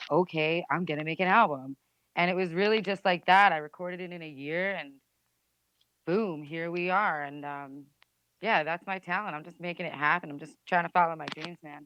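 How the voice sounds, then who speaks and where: Over a quiet background, a woman with a New Jersey accent speaks at a moderate pace with a fairly low pitch, a bright, sharp tone and fairly even intonation, the sound dry and close with no echo. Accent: New Jersey American. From New Jersey, USA. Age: 20s. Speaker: musician. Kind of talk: interview answer. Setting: phone line.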